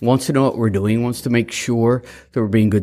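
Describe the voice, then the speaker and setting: A medium-pitched man with an American accent on a very clean recording with a silent background. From US South. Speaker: grant-making agency chairman giving a speech. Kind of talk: formal speech to an audience. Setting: stage with audience. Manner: formal, hesitant with frequent fillers.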